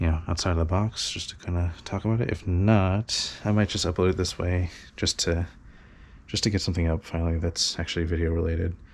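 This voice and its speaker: The speech moves at a fairly quick pace with fairly even intonation and a somewhat breathy sound. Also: man, very deep, low pitch for a man. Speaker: toy collector youtuber. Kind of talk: casual chat. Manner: rambling with many fillers. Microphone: head-mounted camera mic close to mouth and nose.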